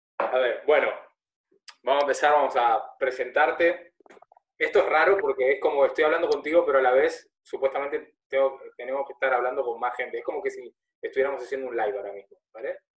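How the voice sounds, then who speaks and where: A man talks at a very fast pace. His loudness rises and falls sharply. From Argentina. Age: 30s. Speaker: podcast host. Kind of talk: casual interview conversation.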